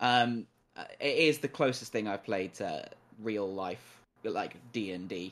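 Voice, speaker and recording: A man talks in a plain, everyday voice at medium pitch with ordinary pitch variation. He keeps a fairly slow pace, and the recording is very clean with a silent background. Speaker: returning gaming podcast guest. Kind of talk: casual chat.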